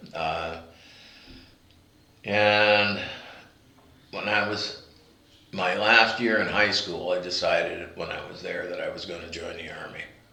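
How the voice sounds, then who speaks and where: A man speaks at a fairly slow pace with long, frequent pauses and big swings in loudness, amid audible room echo and noticeable background noise. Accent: American. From US Pacific Northwest, Seattle. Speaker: war veteran. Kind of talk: interview testimony. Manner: halting, many fillers.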